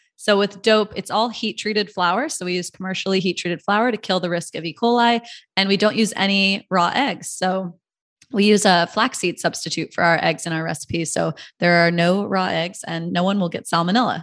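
Against a quiet background, a woman speaks in an ordinary speaking voice at a moderate pace. Her pitch is medium, with ordinary variation. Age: 30s. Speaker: company founder. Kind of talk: interview.

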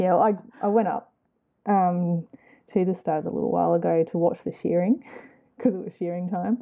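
Talking at a fairly quick pace yet with long, frequent pauses, a woman has a medium pitch and ordinary pitch variation. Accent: Australian. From Queensland, Australia (Gold Coast), born in New Zealand. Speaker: knitter, spinner and small fibre business owner. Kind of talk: casual chat interview.

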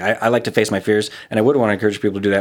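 A man with an American accent, fairly low in pitch, ordinary pitch variation, very clean recording with a silent background. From Southern California (Glendale) and Utah. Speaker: real estate agent, gratitude video creator. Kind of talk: casual interview.

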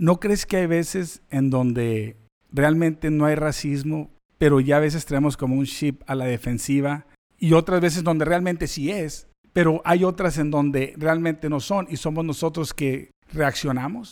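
An unremarkable speaking voice from a man, fairly high in pitch with ordinary pitch variation, fairly slow pace, very clean recording with a silent background. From Mexican-American. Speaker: podcast host. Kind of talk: podcast interview. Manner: casual, code-switching.

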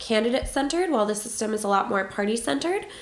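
Talking at a very fast pace with a fairly high pitch, a woman is heard with audible echo from the room. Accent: American. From Boston, US. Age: 20s. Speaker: policy analyst, American expat interviewee. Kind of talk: interview answers.

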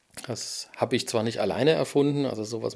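Fairly quick, fry-laden speech from a man. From Germany, Erfurt (Thuringia). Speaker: podcast host and cactus grower. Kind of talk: casual monologue. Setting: in a greenhouse nursery at dusk.

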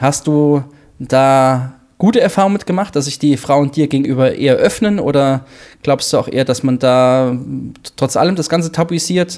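Speaking at a moderate pace, a man with a normal speaking voice has a fairly high pitch and ordinary pitch variation. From Hesse. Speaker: triathlon coach. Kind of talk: casual chat.

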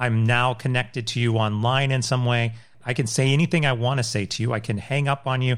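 This is an unremarkable speaking voice from a man at medium pitch. He talks at a fairly quick pace with fairly even intonation. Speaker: podcast host. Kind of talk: casual chat.

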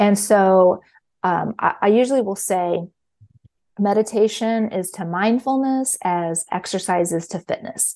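Over a quiet background, a woman with an American accent speaks at a medium pitch in a dark, mellow tone. Her pace is fairly slow and her pitch variation ordinary. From Kansas City, Missouri. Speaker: mindfulness teacher and author. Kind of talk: interview.

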